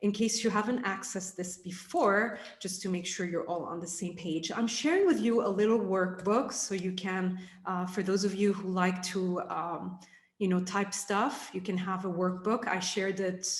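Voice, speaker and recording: The voice is somewhat breathy. Audible room echo surrounds it. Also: woman, medium pitch for a woman, fairly even intonation, moderate pace. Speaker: leadership coach. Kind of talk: online workshop. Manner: hesitant fillers.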